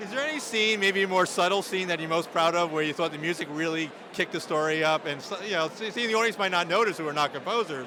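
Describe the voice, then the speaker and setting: A man with a Long Island accent talks at a very fast pace and a high pitch, with ordinary pitch variation. Noticeable background noise sits behind him. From New York, Long Island. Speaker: awards event interviewer. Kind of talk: red carpet interview. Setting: awards event.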